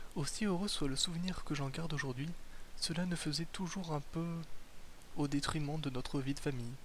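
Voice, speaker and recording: Keeping his loudness very even, a man with a fairly high voice talks at a moderate pace with fairly even intonation. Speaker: ASMR reader. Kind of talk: ASMR book reading, bedtime.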